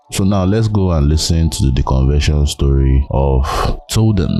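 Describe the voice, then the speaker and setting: Over noticeable background noise, a man talks at a fairly slow pace with a very deep, low pitch and ordinary pitch variation. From Nigeria. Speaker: podcast host. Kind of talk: casual interview chat; podcast intro.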